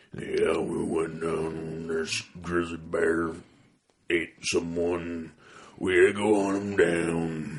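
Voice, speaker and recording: Using a put-on character voice, a man speaks very slowly in a very deep, low pitch. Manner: gruff, matter-of-fact.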